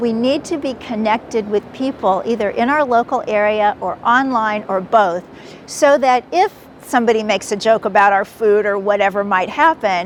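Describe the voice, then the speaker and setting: A woman speaks with a General American accent at a moderate pace and a fairly high pitch. Noticeable background noise runs under her voice. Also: ordinary pitch variation. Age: 70s. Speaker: author and podcaster. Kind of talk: interview answer.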